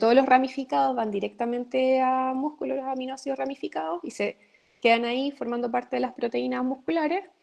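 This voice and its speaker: Lively intonation marks a woman's voice pitched high. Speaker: university lecturer. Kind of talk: online lecture. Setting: live video session.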